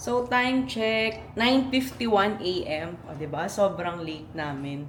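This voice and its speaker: A woman's medium-pitched voice at a fairly slow pace, with very wide pitch swings, big swings in loudness, audible room echo and noticeable background noise. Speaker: travel vlogger. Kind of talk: casual travel vlog. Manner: animated.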